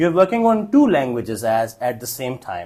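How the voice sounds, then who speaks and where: Speaking with a Pakistani accent, a man's voice swings very widely in pitch. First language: Urdu. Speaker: English test trainer, former examiner. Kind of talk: Q&A teaching session.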